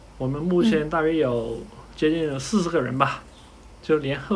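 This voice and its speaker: Audible room echo surrounds a man's voice. He talks at a moderate pace with ordinary pitch variation. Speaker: ship designer. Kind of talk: casual interview.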